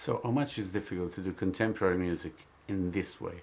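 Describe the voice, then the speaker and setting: At a moderate pace, a man with an Italian accent speaks with fairly even intonation. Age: 50s. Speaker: journalist. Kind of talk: interview. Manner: halting.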